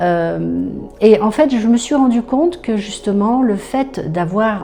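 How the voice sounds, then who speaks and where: Against noticeable background noise, a woman with a fairly high pitch talks at a very slow pace with ordinary pitch variation. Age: 60s. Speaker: customer giving a testimonial. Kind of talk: testimony. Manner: hesitant, many fillers and repetitions.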